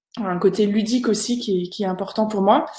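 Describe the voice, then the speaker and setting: Audible room echo surrounds a woman's fairly high-pitched voice. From France, Alsace. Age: 30s. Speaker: language teacher and online content creator. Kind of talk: online conference presentation. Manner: hesitant, many fillers.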